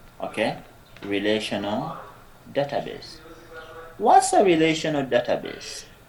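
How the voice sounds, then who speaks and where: Amid noticeable background noise and audible room echo, a man talks. His pace is fairly slow, with long, frequent pauses. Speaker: lecturer. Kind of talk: lecture.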